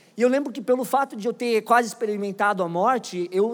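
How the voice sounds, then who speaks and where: A man's extremely high voice at a moderate pace, with ordinary pitch variation. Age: 20s. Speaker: pastor. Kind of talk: sermon. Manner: animated.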